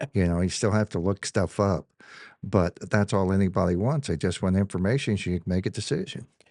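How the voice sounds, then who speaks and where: A man speaks at a fairly quick pace in a plain, everyday voice, fairly low in pitch with ordinary pitch variation, recorded with a dry, close sound with no echo over a quiet background. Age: 60s. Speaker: firearms dealer. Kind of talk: casual chat.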